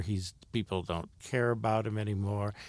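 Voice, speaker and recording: This man has a normal speaking voice with a fairly low pitch, recorded very cleanly against a silent background. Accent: American. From Ohio, US Midwest (Akron). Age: 60s. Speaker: stage actor and theater director. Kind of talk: interview.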